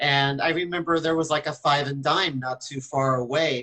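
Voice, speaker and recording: With a normal speaking voice, a man talks at a fairly high pitch and with fairly even intonation. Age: 50s. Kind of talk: casual radio interview chat. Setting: radio show.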